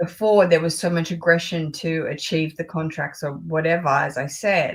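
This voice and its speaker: The voice has an Australian accent and a somewhat breathy quality. It moves at a moderate pace with fairly even intonation. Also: woman, fairly low pitch for a woman. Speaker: luxury fashion YouTuber. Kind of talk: casual chat.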